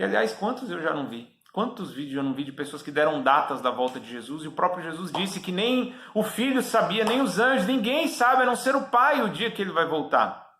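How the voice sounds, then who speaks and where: In a raised, projected voice, a high-pitched man speaks at a fairly quick pace with very wide pitch swings. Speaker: preacher. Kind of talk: sermon.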